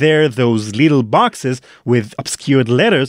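In an Israeli accent, a man talks at a fairly slow pace with a dry, close sound with no echo. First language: Hebrew. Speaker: podcast host. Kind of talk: scripted narration.

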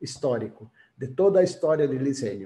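A man speaks with a Brazilian accent in a dark, mellow tone. His intonation is lively. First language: Portuguese (speaking Spanish). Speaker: graphic designer, author and curator; panelist, design educator. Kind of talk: presentation. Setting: video call. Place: home room. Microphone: video call.

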